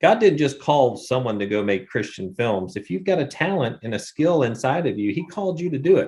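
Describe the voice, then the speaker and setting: A man with an American accent talks at a fairly quick pace with hardly any pauses, his somewhat breathy voice making very wide pitch swings. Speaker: filmmaker, runs faith-based film workshops. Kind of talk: interview answer.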